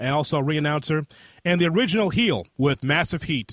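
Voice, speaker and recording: A man speaks in a normal speaking voice, fairly high in pitch, at a fairly quick pace. His intonation is lively, and the sound is dry and close with no echo. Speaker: podcast host. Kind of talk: podcast interview questions.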